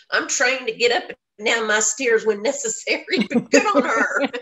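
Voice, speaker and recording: With an American accent, a woman speaks at a moderate pace in a fairly high voice with ordinary pitch variation. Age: 60s. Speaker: voice casting agency founder. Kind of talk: radio interview, casual chat. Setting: radio show. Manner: chatty.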